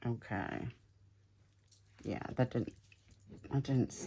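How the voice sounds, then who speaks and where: A woman with a Southern US accent speaks with ordinary pitch variation. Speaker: crafter, video creator. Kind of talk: craft tutorial. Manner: halting, many fillers; casual, chatty.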